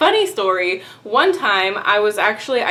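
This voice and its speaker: A woman speaks in a Texan accent at medium pitch with an upbeat tone. Noticeable background noise is present. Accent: mild Texan. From Texas. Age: 20s. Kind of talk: casual talk to camera. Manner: chatty, upbeat.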